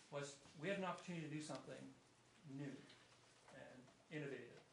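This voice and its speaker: A man's fairly quick speech comes with audible room echo. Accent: Canadian. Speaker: municipal staff presenting to council. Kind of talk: formal report presentation at council meeting. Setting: council chamber meeting. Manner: halting, many fillers and repetitions.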